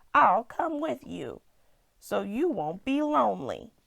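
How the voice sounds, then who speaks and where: A put-on character voice unfolds rather slowly. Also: woman, high pitch for a woman. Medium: read story. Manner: calm, practical.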